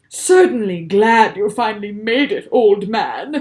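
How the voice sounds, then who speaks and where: The speaker uses a put-on character voice with a fairly high pitch. The pace is fairly slow. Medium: read story. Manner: loud, blustering.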